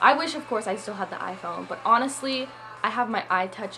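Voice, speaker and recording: Fairly quick speech from a woman over background music. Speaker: YouTube vlogger. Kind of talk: casual product review. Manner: loud; chatty.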